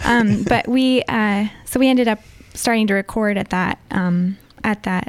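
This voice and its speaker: Woman's voice with fairly even intonation. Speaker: singer-songwriter. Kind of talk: interview.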